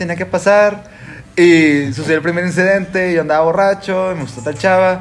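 A high-pitched man with a Mexican accent at a fairly quick pace, amid noticeable background noise. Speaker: podcast host. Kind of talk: casual chat. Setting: home.

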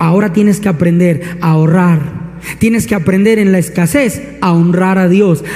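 An animated tone at a moderate pace, with very even loudness and ordinary pitch variation, plus audible room echo and noticeable background noise. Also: man, high pitch for a man. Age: 30s. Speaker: pastor. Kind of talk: sermon.

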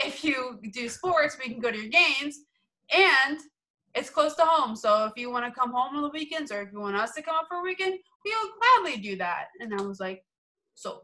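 Using a raised, projected voice, a woman with an American accent and a high pitch speaks at a moderate pace, with very wide pitch swings and big swings in loudness. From Florida, Tampa. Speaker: sports marketing staffer. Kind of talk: casual interview.

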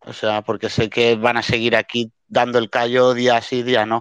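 A man's medium-pitched, monotone, flat delivery at a fairly slow pace, dry and close with no echo against a quiet background. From Spain. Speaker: NFT art collector. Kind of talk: casual chat. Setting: online audio room.

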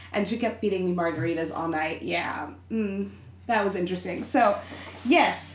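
A woman with an American accent talks at a moderate pace, her pitch varying in an ordinary way. Noticeable background noise sits behind her. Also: medium pitch for a woman. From Texas. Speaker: interview guest. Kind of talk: casual chat. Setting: studio.

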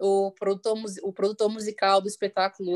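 In a dry, close recording with no echo, a woman speaks at a fairly quick pace with a plain, everyday voice at a medium pitch. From Brasília, Brazil. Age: 30s. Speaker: singer and music educator. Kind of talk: casual interview. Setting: online video call.

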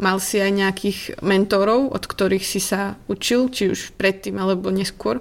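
A woman uses a normal speaking voice, keeping fairly even intonation at a moderate pace. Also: medium pitch for a woman. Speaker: podcast host. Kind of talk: interview.

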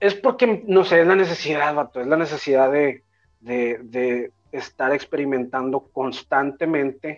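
Speaking at a fairly slow pace in a plain, everyday voice, a man has a fairly high pitch with ordinary pitch variation. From Mexico. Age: 30s. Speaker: rapper and music producer. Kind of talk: casual interview chat.

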